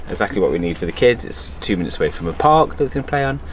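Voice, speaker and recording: A man speaks in a very deep, low voice with very wide pitch swings. Noticeable background noise runs underneath. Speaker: sailing vlogger. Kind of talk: casual vlog chat. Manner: animated.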